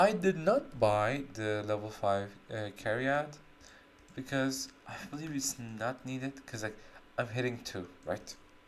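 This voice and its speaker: The speaker talks at a very slow pace with a non-native accent. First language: not English. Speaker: gaming streamer. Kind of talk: gameplay commentary. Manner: casual, halting with self-corrections.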